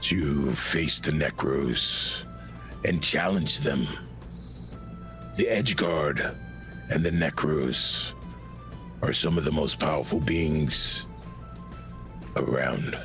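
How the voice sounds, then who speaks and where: Over loud music in the background, a man performs a put-on character voice at a very slow pace. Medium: actual play. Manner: measured, faintly amused.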